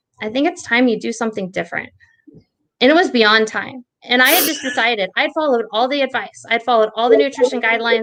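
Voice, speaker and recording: Her tone is animated, and she talks at a very fast pace with an American accent. The woman's pitch is fairly high, with ordinary pitch variation. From Texas. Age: 30s. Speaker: dietitian. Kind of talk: interview.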